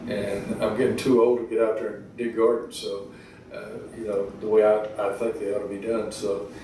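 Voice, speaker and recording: The delivery is monotone and flat, at a moderate pace, with big swings in loudness. Room echo and noticeable background noise are audible. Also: man, fairly low pitch for a man. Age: 60s. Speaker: rural equipment dealership co-owner. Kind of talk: interview. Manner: halting, many fillers and restarts.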